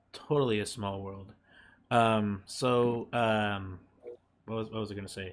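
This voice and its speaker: This man has a normal speaking voice, fairly low in pitch, with ordinary pitch variation. The recording is very clean, with a silent background. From Mexico, moved to US young. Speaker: podcast host. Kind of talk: casual interview chat.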